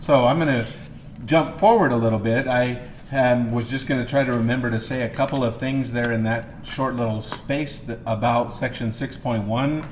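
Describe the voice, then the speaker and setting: Amid noticeable background noise and audible room echo, a man talks at a moderate pace and medium pitch with fairly even intonation. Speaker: math teacher. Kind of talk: lecture. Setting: empty classroom, recorded video. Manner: halting, many fillers.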